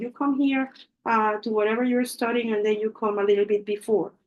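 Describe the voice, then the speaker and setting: The speaker has a Spanish accent. Delivery runs at a fairly quick pace. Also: woman. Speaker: English teacher. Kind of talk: lecture.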